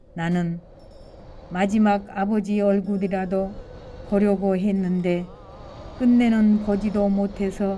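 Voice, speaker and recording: Music plays in the background as a woman speaks at a very slow pace. Her pitch is medium. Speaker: adult literacy learner. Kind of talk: personal essay reading.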